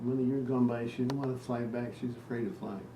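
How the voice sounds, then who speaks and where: A man with an American accent speaks at a fairly quick pace in a medium pitch, his intonation fairly even, with noticeable background noise. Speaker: retired teacher and researcher. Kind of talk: casual storytelling in family conversation.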